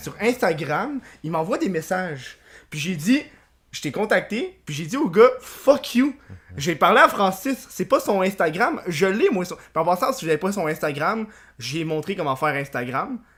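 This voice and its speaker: Speaking at a fairly slow pace in a Quebec accent, the voice carries an animated tone. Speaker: podcast host. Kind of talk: casual chat.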